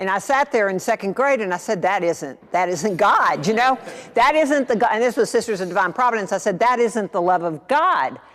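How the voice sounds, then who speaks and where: This woman speaks at a fairly quick pace with a fairly high pitch and lively intonation, and there is noticeable background noise. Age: 60s. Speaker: speaker at parish adult education class. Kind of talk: talk with audience discussion.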